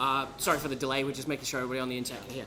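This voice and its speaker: A man speaks in a fairly high voice for his sex, with audible echo from the room. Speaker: conference speaker. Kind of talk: conference talk. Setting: stage with audience.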